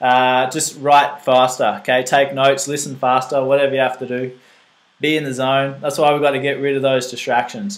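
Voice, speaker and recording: This man has a fairly high pitch and speaks with an Australian accent. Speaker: fitness coach presenting a nutrition seminar. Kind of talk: live seminar talk. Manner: fast; animated.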